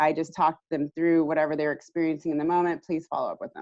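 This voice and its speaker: The setting is quiet. Her voice sits very deep and low in pitch for a woman. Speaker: recovery network presenter. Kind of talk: webinar presentation. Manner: fast.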